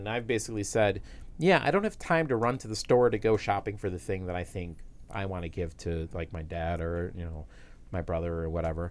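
A man talks at a fairly quick pace in an unremarkable speaking voice, pitched fairly low. The recording is very clean, with a silent background. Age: 40s. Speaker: tech podcast co-host. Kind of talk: casual chat.

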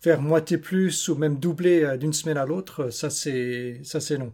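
Speaking at a very slow pace, a man with a fairly high pitch has a dark, mellow tone. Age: 50s. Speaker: barefoot runner. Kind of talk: interview. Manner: halting.

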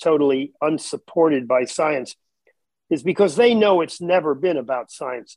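In a dry, close sound with no echo, a man with an unremarkable speaking voice talks at a moderate pace and a fairly high pitch. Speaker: talk show co-host. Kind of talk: interview.

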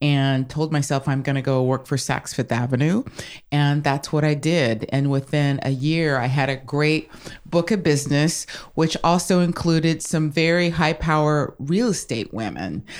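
Her voice is very deep and low for a woman, with very even loudness, ordinary pitch variation and a moderate pace. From San Francisco, California. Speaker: real estate agent. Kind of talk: interview.

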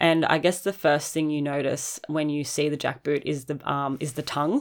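A woman speaks with an Australian accent at a moderate pace, her pitch very deep and low with monotone, flat intonation. The recording is very clean, with a silent background. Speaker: podcast host and roller skate shop owner. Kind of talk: casual chat.

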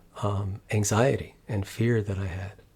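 Somewhat breathy and fairly low in pitch, a man speaks at a fairly slow pace with fairly even intonation. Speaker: psychologist and meditation teacher. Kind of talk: interview conversation.

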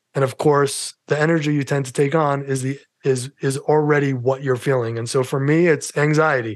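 In a New York accent, a man with a fairly high pitch talks in a monotone, flat intonation with hardly any pauses. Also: moderate pace. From New York City. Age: 50s. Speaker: mental health advocate and podcaster. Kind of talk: casual interview chat, personal testimony.

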